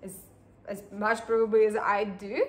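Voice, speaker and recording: In a Slovak accent, a woman speaks at a medium pitch and a fairly slow pace, with audible room echo around her. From Slovakia. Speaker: acrylic pouring artist. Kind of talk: tutorial. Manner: halting, many fillers.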